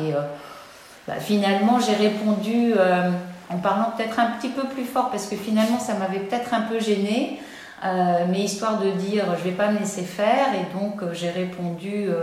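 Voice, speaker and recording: Medium-pitched female speech with ordinary pitch variation, noticeable background noise and audible room echo. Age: 60s. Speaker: interviewee sharing personal story. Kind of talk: personal testimony. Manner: hesitant with many fillers.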